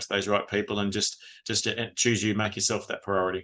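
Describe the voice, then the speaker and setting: A man with an Australian accent and a fairly low-pitched voice. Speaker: retired police officer and trauma recovery coach. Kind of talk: podcast interview. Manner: fast.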